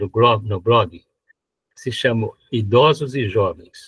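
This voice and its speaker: There is some breathiness in this voice. Pitch rises and falls in an ordinary way. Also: man. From São Paulo, Brazil. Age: 90s. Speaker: retired engineer and blogger. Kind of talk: live interview. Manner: halting, repeats words.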